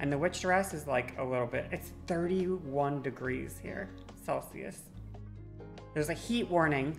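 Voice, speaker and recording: A woman's very deep, low pitch over faint music in the background. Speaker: live streamer. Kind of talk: casual stream chat reacting to chat. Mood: playful, slightly strained. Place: home room. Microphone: studio mic.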